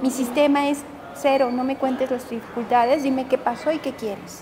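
A woman talks at a fairly quick pace and a high pitch, in a flat monotone. Noticeable background noise is present. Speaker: psychotherapist and self-help author. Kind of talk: interview.

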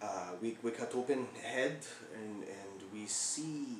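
A man is speaking in a room with audible echo. Light background noise runs underneath. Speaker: storyteller playing a doctor character. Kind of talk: comedic character monologue. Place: home room. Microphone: camera far.

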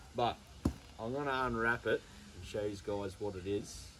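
There is noticeable background noise. Over it, a man talks at a moderate pace. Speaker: vlogger. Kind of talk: casual product demo vlog. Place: garden. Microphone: camera far.

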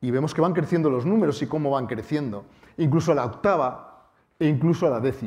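Somewhat breathy, a man talks at a fairly quick pace with ordinary pitch variation. The background is quiet. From Spain, Bilbao (Basque Country); Basque Country, Spain. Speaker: mathematics professor and science communicator; mathematics professor. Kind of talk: public lecture. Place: hall.

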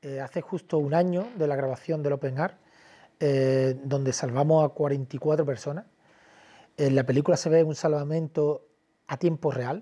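Against a quiet background, a man with a dark, mellow tone speaks at a fairly slow pace and with fairly even intonation. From Cádiz, Andalusia, Spain; Andalusia, Spain. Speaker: documentary filmmaker and journalist; journalist. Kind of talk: interview. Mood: earnest, indignant. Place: studio. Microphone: lapel.

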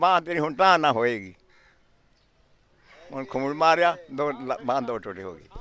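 The tone is bright and sharp, with lively intonation. The sound is dry, with no echo. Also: man. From Punjab, Pakistan. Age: 80s+. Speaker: elderly villager interviewee. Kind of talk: interview answer. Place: open country. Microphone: handheld.

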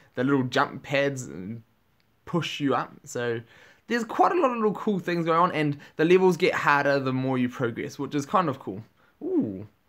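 A man with a New Zealand accent speaks at a fairly high pitch over a quiet background. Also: lively intonation, moderate pace. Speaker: gaming YouTuber. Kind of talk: gameplay commentary. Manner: animated. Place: home room.

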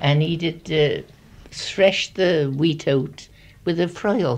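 The speaker has a Gloucestershire accent. The intonation is lively. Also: woman. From Gloucestershire, England. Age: 80s+. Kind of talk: reminiscence.

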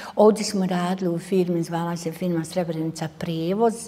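In a fairly low pitch, a woman speaks at a moderate pace with monotone, flat intonation. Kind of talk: interview answer. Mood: somber, reflective. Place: hall. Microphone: lapel.

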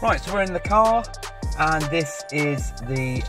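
A man talks at a moderate pace in a dry sound with no echo. Clear music plays behind him. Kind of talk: product walkthrough commentary. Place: car. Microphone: phone near.

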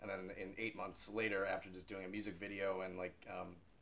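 A man talks at a fairly quick pace with an American accent. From United States. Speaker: rock singer. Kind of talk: interview answer. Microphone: camera far.

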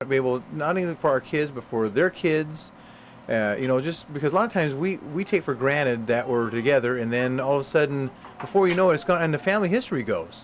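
Light background noise sits behind a man talking at a very fast pace. His fairly high voice has lively intonation. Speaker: grandson interviewing grandparents. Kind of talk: casual family interview. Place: home room. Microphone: camera far.

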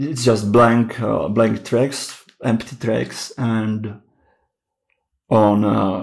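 A man's very slow speech with fairly even intonation. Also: medium pitch for a man. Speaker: music gear youtuber. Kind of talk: tutorial. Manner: halting, many fillers.

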